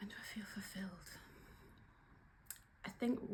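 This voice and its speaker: A woman with a Geordie accent, somewhat breathy, dark and mellow in tone, medium in pitch, with ordinary pitch variation. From northeast England, Newcastle upon Tyne. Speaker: workplace trainer and coach. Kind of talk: casual video vlog. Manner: casual, hesitant with fillers.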